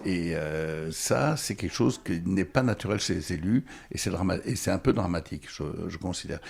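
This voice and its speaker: Here a man speaks with a very deep, low pitch and lively intonation. His pace is moderate. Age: 70s. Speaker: former mayor. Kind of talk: interview. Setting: bookshop. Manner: halting.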